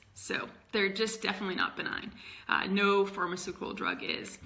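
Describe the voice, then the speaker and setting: A woman's medium-pitched, monotone, flat voice amid noticeable background noise and audible room echo. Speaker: health educator and emergency department worker. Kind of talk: casual tutorial livestream. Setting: live video stream. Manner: hesitant, many fillers.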